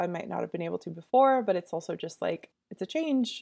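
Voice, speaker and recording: A woman with fairly low pitch speaks at a fairly quick pace in a normal speaking voice. The sound is dry and close with no echo, on a very clean recording with a silent background. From suburban Massachusetts near Boston. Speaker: novelist. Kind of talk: interview. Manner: casual, with frequent fillers and laughter.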